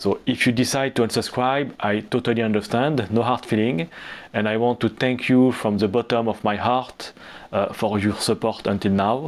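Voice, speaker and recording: Captured in a very clean recording with a silent background, a man speaks with a French accent at a moderate pace and very even loudness. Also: medium pitch for a man, fairly even intonation. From Lebanon. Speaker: business YouTuber. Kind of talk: channel announcement. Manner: hesitant, with fillers.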